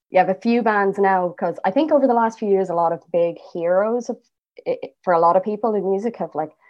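A woman speaks at a fairly quick pace in an Irish accent, her medium pitch moving with ordinary variation. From Ireland. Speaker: singer and bassist. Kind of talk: interview conversation.

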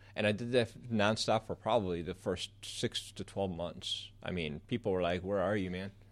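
A man with a Midwestern American accent, fairly low pitch and fairly even intonation, at a moderate pace with hardly any pauses, in a very clean recording with a silent background. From Southeast Michigan. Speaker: photographer. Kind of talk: interview. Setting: radio studio.

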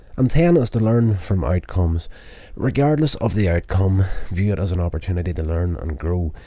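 This man speaks at a moderate pace in a very deep, low voice with a dark, mellow tone and a somewhat breathy quality. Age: 40s. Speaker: podcast host and amateur filmmaker. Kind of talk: self-help monologue. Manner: reading list items.

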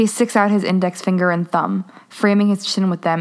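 Someone reads in an unforced reading voice. The intonation is fairly even.

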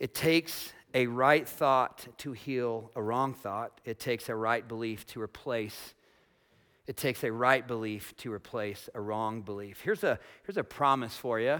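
An unremarkable speaking voice: a man with an American accent at medium pitch, with ordinary pitch variation. He speaks at a fairly slow pace in a very clean recording with a silent background. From US, small farm town. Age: 40s. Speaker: pastor. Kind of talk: sermon. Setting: church with congregation. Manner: casual, conversational.

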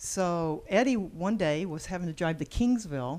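A woman with an American accent, a fairly low pitch, a dark, mellow tone and lively intonation. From Texas. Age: 60s. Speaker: bed and breakfast and event venue owner. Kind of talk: casual interview conversation.

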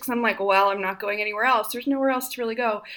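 A woman speaks in a raised, projected voice. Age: 30s. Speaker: writer and scholar. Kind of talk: casual chat.

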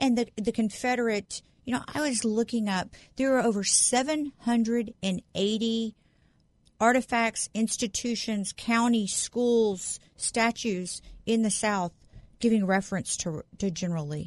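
A woman with an unremarkable speaking voice talks at a fairly slow pace and fairly high pitch, with ordinary pitch variation and a dry, close sound with no echo against a quiet background. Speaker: guest co-host sitting in. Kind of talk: casual political chat. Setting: studio.

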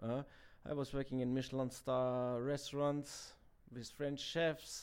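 On a very clean recording with a silent background, a man speaks in a Bavarian accent. His medium pitch holds fairly even intonation at a fairly slow pace. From Germany, Bavaria (Garmisch-Partenkirchen). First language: German. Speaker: chef. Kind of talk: interview. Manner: halting, many fillers.

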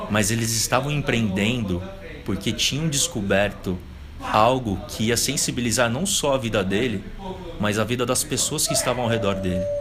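Music plays in the background as a man of medium pitch talks at a moderate pace with ordinary pitch variation and audible room echo. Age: 20s. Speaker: business consultant. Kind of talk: casual interview. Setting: coworking space.

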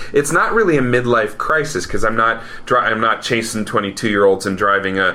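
A man talks at a moderate pace and medium pitch, with ordinary pitch variation and very even loudness. Noticeable background noise is present. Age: 40s. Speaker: podcast host. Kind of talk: casual chat. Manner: animated.

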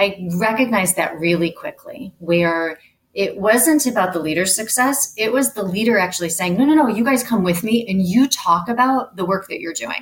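A woman with an unremarkable speaking voice, lively intonation and a moderate pace, with hardly any pauses. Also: medium pitch for a woman. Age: 40s. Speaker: HR executive. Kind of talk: interview.

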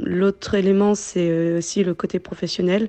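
Against a quiet background, a woman speaks at a fairly low pitch with a dark, mellow tone. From Ivory Coast (Abidjan). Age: 20s. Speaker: returning expatriate. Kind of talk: interview. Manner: hesitant.

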